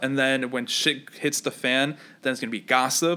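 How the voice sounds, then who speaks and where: A man with an unremarkable speaking voice talks at a moderate pace. His pitch is medium, and his intonation is fairly even. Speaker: podcast host. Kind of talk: casual banter podcast. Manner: loud.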